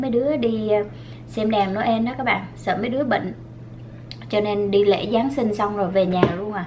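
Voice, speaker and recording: A woman talks at a fairly slow pace with ordinary pitch variation. There is light background noise. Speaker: food vlogger. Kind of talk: casual vlog chat while eating. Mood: relaxed, chatty, some laughs. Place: home room.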